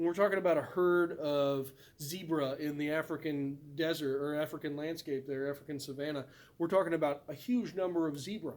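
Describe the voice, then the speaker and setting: A fairly high male voice, fairly quick, with fairly even intonation. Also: very clean recording, silent background. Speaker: biology teacher. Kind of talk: recorded lecture. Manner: fast.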